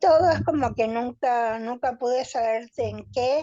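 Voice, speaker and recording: Against a quiet background, a woman with a dark, mellow tone and a fairly high pitch talks very slowly with ordinary pitch variation. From Argentina, Buenos Aires area. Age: 70s. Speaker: relative of a disappeared person. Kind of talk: testimony.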